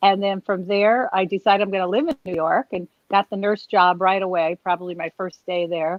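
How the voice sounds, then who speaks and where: Her pitch is medium, and this woman keeps a fairly quick pace. She speaks with hardly any pauses. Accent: American. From US Northeast, Bethlehem, Pennsylvania. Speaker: nurse and comedian. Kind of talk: interview. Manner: fast; animated.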